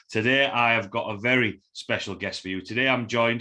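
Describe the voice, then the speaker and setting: Man with a Yorkshire accent, medium pitch, a bright, sharp tone, fairly even intonation and a fairly quick pace, on a quiet background. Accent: broad Yorkshire. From Yorkshire, northern England. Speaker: podcast host. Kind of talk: interview podcast.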